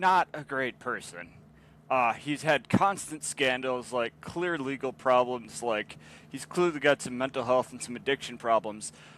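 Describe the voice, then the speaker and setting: A man's ordinary speaking voice at a medium pitch, with ordinary pitch variation, big swings in loudness and a fairly slow pace. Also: dry, close sound with no echo. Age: 20s. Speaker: podcast co-host. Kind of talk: casual chat.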